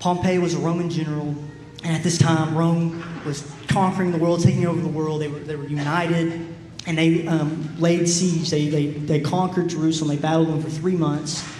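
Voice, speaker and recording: A man with a fairly high pitch talks at a fairly quick pace in a monotone, flat intonation. The recording has audible room echo and noticeable background noise. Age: 20s. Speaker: preacher. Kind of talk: sermon.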